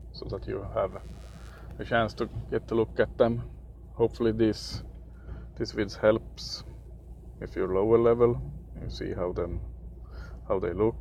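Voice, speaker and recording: Very deep and low, a man's voice with a dark, mellow tone and vocal fry moves through very wide pitch swings at a fairly slow pace, with long, frequent pauses. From Sweden. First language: Swedish. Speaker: gaming youtuber. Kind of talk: gameplay commentary. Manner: halting, many fillers.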